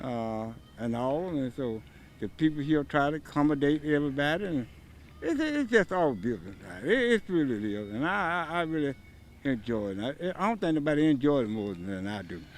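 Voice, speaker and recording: The speaker has an Alabama accent and talks at a moderate pace. The pitch swings very widely. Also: man, fairly high pitch for a man. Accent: Southern US (Alabama). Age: 70s. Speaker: event volunteer. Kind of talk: on-location interview.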